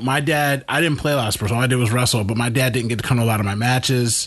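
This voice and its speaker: Against noticeable background noise, a man talks at a very fast pace with a medium pitch and ordinary pitch variation. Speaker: podcast host, father. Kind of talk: casual chat. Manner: loud.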